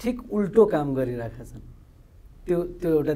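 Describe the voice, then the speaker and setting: In a Nepali accent, the speaker talks at a fairly slow pace with lively intonation and a dark, mellow tone. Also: man. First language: Nepali (speaking Hindi). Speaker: TV interviewer. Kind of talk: formal programme presentation; interview. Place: studio. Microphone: lapel.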